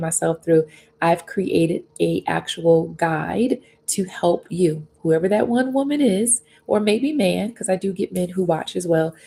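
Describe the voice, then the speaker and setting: A soft-spoken woman's voice, medium in pitch, somewhat breathy, with a dark, mellow tone and ordinary pitch variation. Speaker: faith and life coach. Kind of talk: livestream devotional talk. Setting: live stream on YouTube and Facebook. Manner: gentle, reflective.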